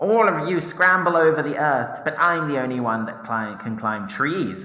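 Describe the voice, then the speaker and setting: A man does a put-on character voice, shrill and fairly high in pitch, at a moderate pace. There is clear echo around him. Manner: boastful.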